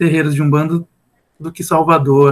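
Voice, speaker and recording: Music plays in the background as a man speaks with a fairly high pitch. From Rio Grande city, southern Rio Grande do Sul, Brazil. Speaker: music teacher. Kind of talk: casual chat.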